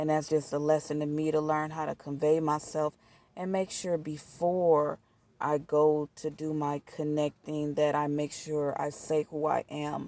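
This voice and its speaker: A woman with a very deep, low voice and a dark, mellow tone speaks at a moderate pace in a flat monotone, recorded dry and close with no echo. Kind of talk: casual talk to camera. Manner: frustrated, candid.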